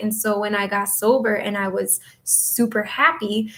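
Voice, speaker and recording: Her intonation monotone and flat, a woman with an Upper Midwest accent speaks at a fairly high pitch. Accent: Upper Midwest American. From northern Michigan. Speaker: astrologer and reiki healer. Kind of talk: casual livestream chat. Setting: home office livestream.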